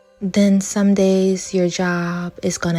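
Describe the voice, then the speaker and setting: A woman's words come out at a very slow pace while music plays in the background. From New Orleans, Louisiana. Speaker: social worker and art vlogger. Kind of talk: self-help vlog talk.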